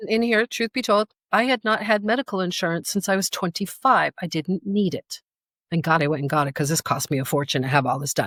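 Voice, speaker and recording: Recorded very clean with a silent background and a dry, close sound with no echo, a woman with an animated tone speaks at a medium pitch and a fairly quick pace, with very wide pitch swings. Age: 60s. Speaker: natural health practitioner. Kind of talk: casual chat.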